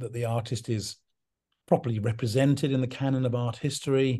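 Against a quiet background, a man with a southern English accent speaks fairly quickly at medium pitch, somewhat breathy, with a dark, mellow tone. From English countryside. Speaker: artist's son and representative. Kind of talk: interview.

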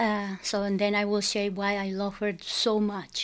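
This woman speaks with a Mexican accent. Her pace is fairly slow. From Mexico, Sinaloa. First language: Spanish. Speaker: parishioner guest. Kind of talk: interview, casual chat.

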